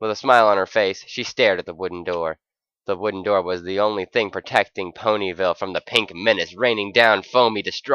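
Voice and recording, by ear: Against a quiet background, a natural voice reads aloud, the intonation fairly even.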